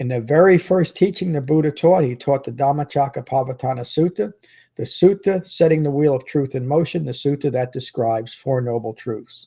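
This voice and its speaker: Somewhat breathy, the voice carries a dark, mellow tone. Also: man, fairly high pitch for a man, ordinary pitch variation, fairly quick pace. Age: 60s. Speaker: meditation teacher. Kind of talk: dharma talk. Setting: live stream video.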